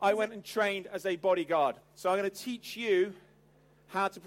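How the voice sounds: The pitch moves in an ordinary way. The voice reads naturally.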